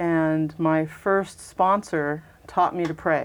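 Over a quiet background, a woman with an American accent speaks at a very deep, low pitch. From western US (Southern California, Denver). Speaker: Episcopal priest. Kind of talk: interview conversation.

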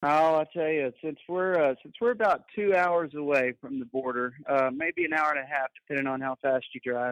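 A Texan accent at a moderate pace, with ordinary pitch variation and a dry, close sound with no echo. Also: man, fairly high pitch for a man. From Texas, San Angelo. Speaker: country singer. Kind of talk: interview. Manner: halting.

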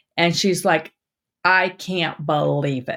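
In an ordinary speaking voice, a woman with a fairly low pitch talks with lively intonation on a very clean recording with a silent background. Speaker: dentist podcast host. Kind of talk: casual conversational podcast.

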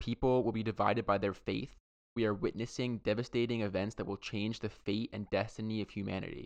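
A man with vocal fry talks at a fairly quick pace, his fairly low pitch moving in a fairly even intonation. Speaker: podcast host. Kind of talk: casual banter podcast chat. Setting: remote recording.

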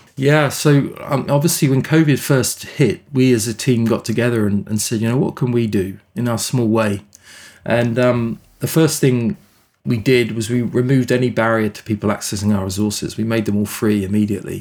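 On a very clean recording with a silent background, a man with a British accent talks fairly quickly at a medium pitch with ordinary pitch variation. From England. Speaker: nonprofit CEO. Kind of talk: interview.

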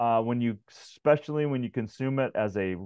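A man speaks in a plain, everyday voice at a medium pitch. His pitch variation is ordinary. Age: 50s. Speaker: wellness expert and author. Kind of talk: casual interview.

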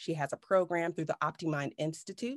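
A woman with a normal speaking voice and fairly low pitch talks at a moderate pace with ordinary pitch variation. The background is quiet, and the sound is dry and close with no echo. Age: 40s. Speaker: neuro coach. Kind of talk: interview.

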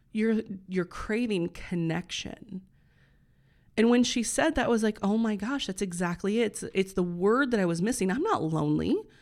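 A woman uses an ordinary speaking voice, talking at a moderate pace with ordinary variation in pitch. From US Midwest (Northeast Indiana). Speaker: podcast host, health and wellness coach. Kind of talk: solo podcast monologue. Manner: casual, conversational with fillers.

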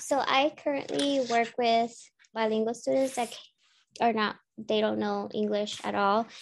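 A woman with an American accent has a plain, everyday voice at a fairly high pitch. She speaks at a fairly slow pace with ordinary pitch variation. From US, Chicago area, Spanish-speaking home. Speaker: teacher candidate. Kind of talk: casual chat.

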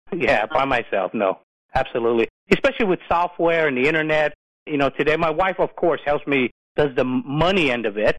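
At a fairly quick pace, a man with a fairly high pitch, lively intonation and very even loudness uses a normal speaking voice, the sound dry and close with no echo. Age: 50s. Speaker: commercial real estate investor. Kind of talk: casual interview.

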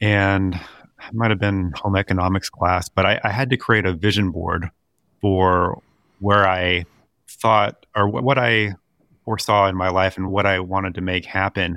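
A man speaks at a fairly low pitch with a bright, sharp tone and fairly even intonation. His moderate pace comes through in a dry, close sound with no echo. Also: very clean recording, silent background. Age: 40s. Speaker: podcast co-host, financial advisor. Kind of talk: casual chat. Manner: halting, with frequent repeated words.

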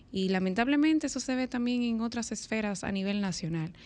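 A woman speaks at a moderate pace with ordinary pitch variation, an unremarkable speaking voice. The background is quiet. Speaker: radio panelist. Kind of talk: casual chat. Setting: studio.

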